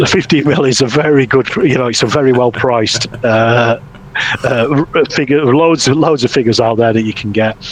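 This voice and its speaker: Noticeable background noise sits behind a man with a Yorkshire accent. He talks at a medium pitch and a moderate pace with ordinary pitch variation. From Yorkshire, northern England. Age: 50s. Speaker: wargaming hobbyist and YouTuber. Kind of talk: casual chat. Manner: halting, frequent fillers and repetitions.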